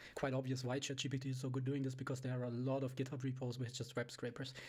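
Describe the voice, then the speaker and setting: Somewhat breathy and monotone, with flat intonation, a man at medium pitch speaks at a very fast pace. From Europe. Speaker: programmer / tech YouTuber. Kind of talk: screen-share tutorial demo. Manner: halting, many fillers.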